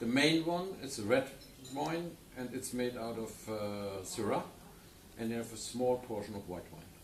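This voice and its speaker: A man at medium pitch with a German accent, lively intonation and a moderate pace, big swings in loudness, noticeable background noise and audible room echo. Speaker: wine journalist. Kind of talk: interview. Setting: studio. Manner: halting.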